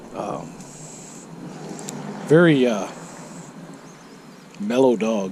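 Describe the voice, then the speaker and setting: Through audible room echo and noticeable background noise, a man at a medium pitch speaks with very wide pitch swings. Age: 60s. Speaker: motorcycle vlogger. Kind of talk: casual monologue. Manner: hesitant, many fillers.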